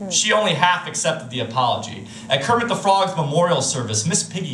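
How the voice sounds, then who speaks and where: This man has a high pitch and lively intonation at a fairly quick pace. Audible room echo and light background noise are present. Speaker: slam poet. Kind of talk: slam poetry performance. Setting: live stage. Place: stage.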